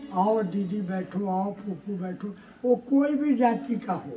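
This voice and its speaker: With music in the background, a man talks at a high pitch with ordinary pitch variation. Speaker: sadhu. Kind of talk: spiritual discourse. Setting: ashram. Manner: soft-spoken.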